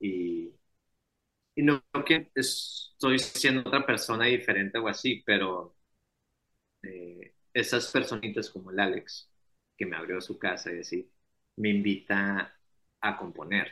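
At a very slow pace with long, frequent pauses, a man with a fairly low pitch speaks with lively intonation and big swings in loudness. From Sonora, northwest Mexico. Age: 20s. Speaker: singer-songwriter. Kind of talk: casual chat.

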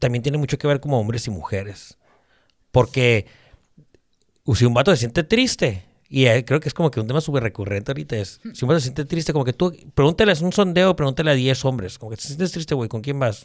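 A man with an ordinary speaking voice talks at a fairly quick pace and medium pitch, with lively intonation. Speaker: podcaster. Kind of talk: casual chat.

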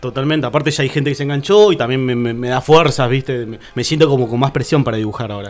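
Over music in the background, a man speaks at a medium pitch. He goes at a very fast pace. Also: ordinary pitch variation. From Argentina, Tierra del Fuego (Río Grande). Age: 30s. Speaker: painter and visual artist. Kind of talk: casual interview chat.

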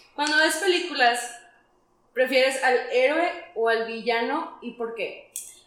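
Amid audible room echo, a woman speaks very slowly in a high voice with ordinary pitch variation. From Monterrey, Mexico. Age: 30s. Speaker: podcast co-host. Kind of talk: casual chat.

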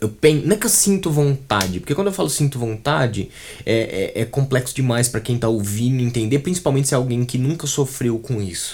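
A man with a medium-pitched, somewhat breathy voice speaks at a fairly quick pace with lively intonation. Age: 20s. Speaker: brand designer and art director. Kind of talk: casual interview chat. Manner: halting, many fillers and repetitions.

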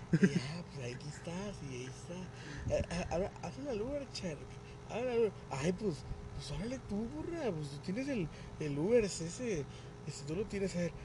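With a Mexican accent, a man speaks at a fairly slow pace against noticeable background noise. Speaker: podcast co-host. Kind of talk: casual chat.

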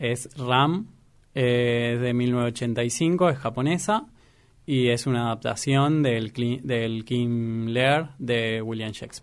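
This man speaks at a very slow pace and medium pitch. His pitch variation is ordinary. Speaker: film enthusiast, cook. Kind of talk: interview. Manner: halting, many fillers.

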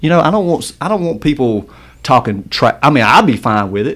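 His intonation moves in a lively way. The man talks with an American accent. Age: 40s. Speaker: podcast co-host. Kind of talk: casual interview chat.

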